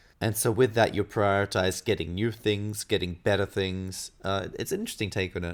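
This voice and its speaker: A man with a slight Australian accent, fairly low in pitch, at a fairly quick pace with hardly any pauses and monotone, flat intonation, in a very clean recording with a silent background. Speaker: gaming podcast co-host. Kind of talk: casual chat.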